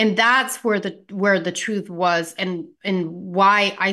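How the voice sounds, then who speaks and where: A woman speaks at a very slow pace with a bright, sharp tone. Her intonation stays fairly even. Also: quiet background. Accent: American. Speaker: healthcare practitioner and wellness entrepreneur. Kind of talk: interview.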